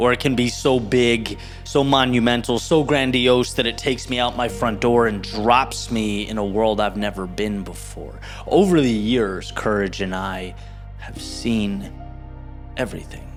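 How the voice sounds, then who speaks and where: Fairly slow speech from a man over background music. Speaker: motivational speaker. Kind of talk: motivational spoken word speech.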